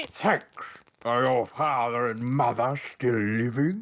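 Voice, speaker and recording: Someone speaks in a put-on character voice at a fairly slow pace with fairly even intonation. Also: man, medium pitch for a man. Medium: audio drama. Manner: gruff, blustering.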